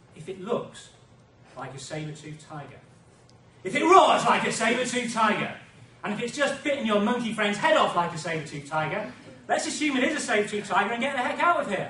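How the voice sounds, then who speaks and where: A high-pitched man's raised, projected voice at a very fast pace, with very wide pitch swings and big swings in loudness, in audible room echo over noticeable background noise. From Britain. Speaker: contest speaker. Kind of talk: contest speech. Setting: stage with audience.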